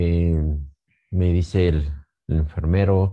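Over a quiet background, a man with a very deep, low pitch talks at a fairly slow pace, his somewhat breathy voice dark and mellow in tone with ordinary pitch variation. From Mexico, Pachuca, Hidalgo. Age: 50s. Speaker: bereaved family member. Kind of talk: testimony. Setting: pre-recorded video. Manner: halting.

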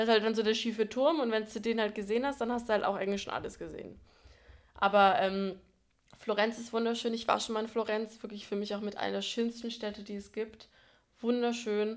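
Here a woman talks at a fairly quick pace. Her fairly high voice stays monotone and flat. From Franconia, Germany. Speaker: podcast co-host. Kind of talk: casual chat.

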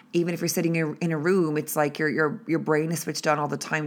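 A woman speaks with an Irish accent in a very deep, low pitch with ordinary pitch variation. The recording is very clean, with a silent background. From Ireland. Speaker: podcast host, motivational speaker. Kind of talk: solo motivational monologue. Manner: casual, filler-heavy.

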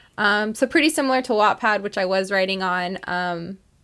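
A plain, everyday voice at a fairly quick pace with lively intonation. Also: woman. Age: 20s. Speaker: podcast co-host, college student. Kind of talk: casual chat.

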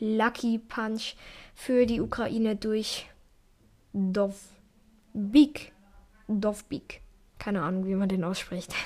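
Over a silent background in a very clean recording, a woman with a fairly high pitch talks at a very slow pace with ordinary pitch variation. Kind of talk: solo football recap podcast. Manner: frequent fillers and hesitations.

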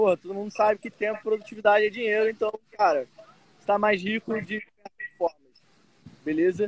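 A man talks at high pitch and a fairly quick pace, his loudness swinging widely. He leaves long, frequent pauses. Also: ordinary pitch variation, dry, close sound with no echo. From Brazil, Rio de Janeiro. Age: 20s. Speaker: digital nomad entrepreneur. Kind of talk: casual interview.

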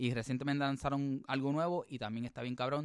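At a medium pitch, a man talks with fairly even intonation. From Puerto Rico, early childhood in US. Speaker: podcast co-host. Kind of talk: casual bilingual chat. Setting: remote recording.

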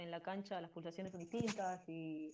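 A woman speaks in a Rioplatense accent. Her intonation stays monotone and flat. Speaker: women's football player. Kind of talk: interview.

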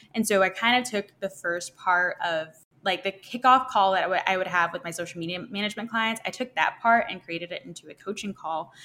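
A woman's bright, sharp voice at medium pitch, fairly quick with hardly any pauses, ordinary pitch variation and big swings in loudness. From Arkansas. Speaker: social media manager. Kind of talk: interview. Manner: hesitant, many fillers.

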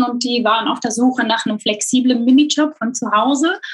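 This woman's high-pitched voice has ordinary pitch variation and keeps a moderate pace. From Belgium. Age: 30s. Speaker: e-commerce content manager. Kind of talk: interview.

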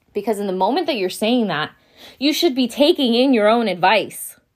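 Recorded very cleanly against a silent background, an unremarkable speaking voice moves at a fairly quick pace. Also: woman. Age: 20s. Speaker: podcast host. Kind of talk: solo motivational podcast monologue. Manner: casual, with frequent fillers and laughter.

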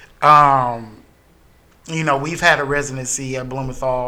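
Audible room echo surrounds a voice with an American accent. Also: man. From US South, Greenwood, South Carolina. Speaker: theatre company founder and artistic director. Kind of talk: casual chat.

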